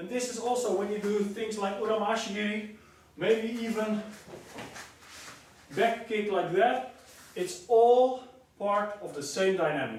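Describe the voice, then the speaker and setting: Over noticeable background noise and audible room echo, a man with a Dutch accent speaks at a fairly slow pace in a high pitch with ordinary variation, leaving long, frequent pauses. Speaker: karate teacher. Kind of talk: tutorial. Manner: halting.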